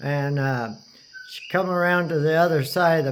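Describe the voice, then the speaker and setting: This man's voice is fairly high in pitch. He speaks at a moderate pace, and audible room echo surrounds him. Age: 60s. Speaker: storyteller recounting hospital stay. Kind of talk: casual personal storytelling. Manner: halting, many fillers and restarts.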